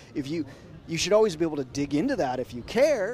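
A man is speaking. His tone is dark and mellow. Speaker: blockchain app developer. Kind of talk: casual interview chat. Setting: outdoors at a conference.

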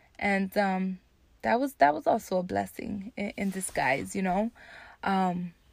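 A woman with an American accent and a medium pitch speaks at a moderate pace in an animated tone with ordinary pitch variation. The sound is dry and close, with no echo. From New Jersey, Jersey City. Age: 30s. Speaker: podcast host. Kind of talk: casual solo monologue.

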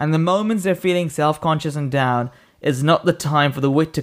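Intonation is fairly even. The pace is moderate. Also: man.

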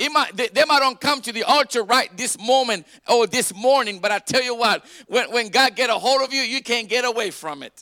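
Raised, projected male voice, extremely high in pitch, at a moderate pace with ordinary pitch variation. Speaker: pastor. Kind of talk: Easter Sunday sermon, call-and-response preaching to a congregation. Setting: church. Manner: fervent, rising exhortation with crowd prompts like 'Come on, somebody'; repetitive, stumbling restarts as he builds emphasis.

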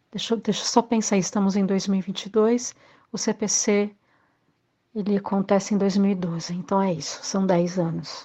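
Somewhat breathy and dark, mellow in tone, a woman speaks at a fairly slow pace. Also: medium pitch for a woman, fairly even intonation, very clean recording, silent background. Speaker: actress and arts teacher. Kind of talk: recorded testimony.

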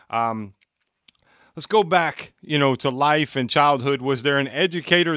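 Recorded very cleanly against a silent background, a man speaks at a fairly slow pace with ordinary pitch variation. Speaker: education podcast host. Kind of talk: casual interview chat. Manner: loud.

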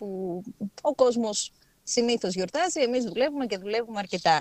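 A woman's fairly high voice, dry and close with no echo, at a moderate pace with lively intonation. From Thrace, Greece (Alexandroupoli). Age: 30s. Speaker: journalist. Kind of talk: casual interview. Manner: hesitant, many fillers.

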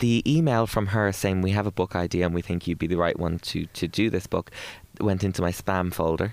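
Speaking in an Irish accent, a man uses a very deep, low pitch with ordinary pitch variation, very even loudness and a fairly quick pace. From Ireland. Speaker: broadcaster and author. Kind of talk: interview. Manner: animated.

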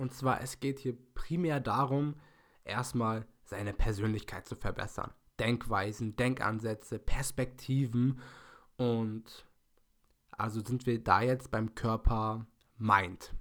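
The pace of this man's speech is very slow. His intonation stays fairly even. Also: medium pitch for a man. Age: 20s. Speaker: podcast host and fitness student. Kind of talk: solo podcast monologue.

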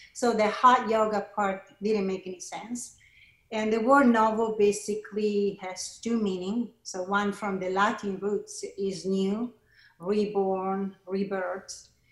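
A woman's very slow, monotone, flat delivery at a medium pitch, in an Italian accent. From Italy, Milan. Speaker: yoga teacher and studio founder. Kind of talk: interview.

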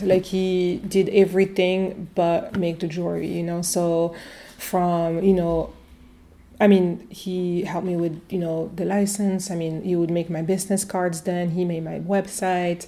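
A woman with a French accent speaks at medium pitch in a dark, mellow tone with fairly even intonation. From France, Italian family. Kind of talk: casual interview. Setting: in her shop. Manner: halting, many fillers.

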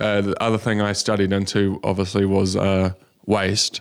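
In a very clean recording with a silent background, the voice holds a monotone, flat intonation. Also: man. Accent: New Zealand. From New Zealand, rural North Island near Wellington. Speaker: social entrepreneur, company founder. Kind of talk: interview. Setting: studio.

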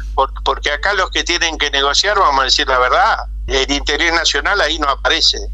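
At a fairly quick pace, a man speaks with very even loudness over noticeable background noise. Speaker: agricultural specialist and broadcaster. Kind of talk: interview.

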